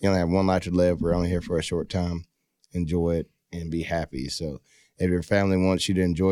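A dark, mellow voice in a Texan accent, fairly quick and fairly even in intonation, on a very clean recording with a silent background. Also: man. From Texas, Rockdale and Baytown. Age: 20s. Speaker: professional bull rider. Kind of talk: casual chat.

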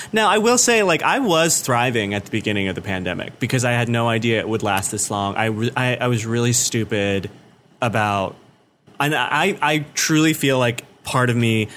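A man with a plain, everyday voice, medium pitch, ordinary pitch variation and a moderate pace. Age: 30s. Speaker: comedian. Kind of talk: casual chat.

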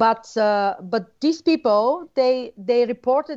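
A woman with a Bulgarian accent, lively intonation and a fairly slow pace, against a quiet background. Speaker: researcher and former radio journalist. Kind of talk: interview. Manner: halting, many fillers.

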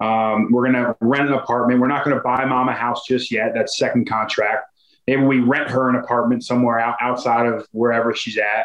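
The delivery is monotone and flat at a fairly quick pace. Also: man, medium pitch for a man. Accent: American. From Philadelphia suburbs, US. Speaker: NFL offensive lineman. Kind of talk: interview.

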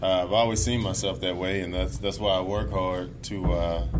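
Speaking at a moderate pace with very wide pitch swings, this voice comes through audible room echo and noticeable background noise. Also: man. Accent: American. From US South, Mississippi. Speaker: baseball pitcher. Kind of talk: interview. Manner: halting, many fillers.

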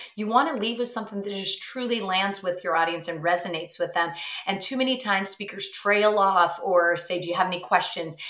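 Against noticeable background noise, a woman with a medium pitch speaks at a moderate pace in an animated tone with ordinary pitch variation. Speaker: speaking coach and author. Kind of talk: casual interview chat. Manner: animated, expressive.

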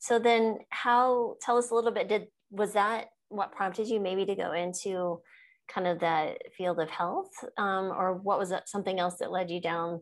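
A woman's plain, everyday voice with an American accent, medium in pitch, fairly even in intonation, at a moderate pace. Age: 50s. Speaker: physician and podcast host. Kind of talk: interview. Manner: laughs often.

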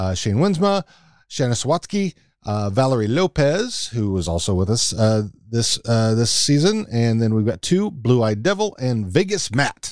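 Recorded very cleanly against a silent background, a man speaks at a moderate pace with a medium pitch and very wide pitch swings. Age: 50s. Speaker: podcast co-host. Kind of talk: casual chat.

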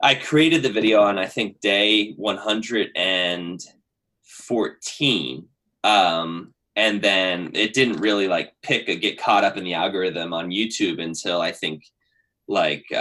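Speaking at a fairly slow pace, a man uses ordinary pitch variation with an American accent. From Pennsylvania, US. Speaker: YouTuber and storyteller. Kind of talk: casual interview. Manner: high energy, animated.

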